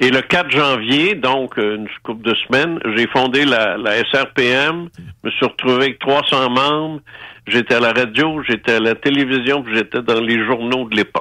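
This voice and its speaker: Against a quiet background, a man speaks at a moderate pace with a medium pitch. His tone is bright and sharp, with ordinary pitch variation. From Quebec City. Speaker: former radio host. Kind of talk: testimony.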